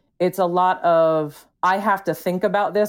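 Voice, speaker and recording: A woman with a normal speaking voice, ordinary pitch variation and a fairly slow pace, on a very clean recording with a silent background. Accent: American. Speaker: teacher and military spouse. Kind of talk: personal testimony in a podcast interview.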